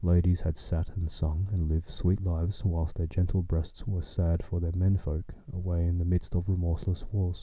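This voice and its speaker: Speaking at a moderate pace, a man uses a very deep, low voice with a dark, mellow tone, a calm tone and a somewhat breathy quality. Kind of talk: sleep story reading. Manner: soft, calm.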